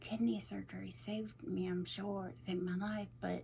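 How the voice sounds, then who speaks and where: A woman speaks at a moderate pace while noticeable background noise carries on behind her. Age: 40s. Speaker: vlogger. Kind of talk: casual talk to camera.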